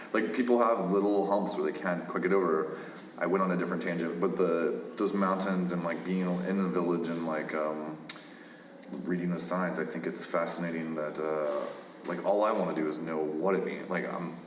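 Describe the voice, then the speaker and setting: With a Midwestern US accent, a man speaks in a very deep, low voice with fairly even intonation, amid audible room echo and noticeable background noise. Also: moderate pace. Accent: US Midwest. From Kansas. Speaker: podcast host. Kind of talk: casual chat.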